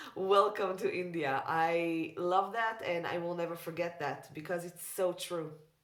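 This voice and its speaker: In a room with audible echo, a woman speaks with monotone, flat intonation. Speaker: tarot reader. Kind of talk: casual chat. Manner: loud.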